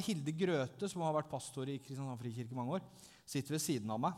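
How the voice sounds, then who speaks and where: A man at a fairly quick pace. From southern Norway (Langesund). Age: 30s. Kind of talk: testimony in church. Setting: church.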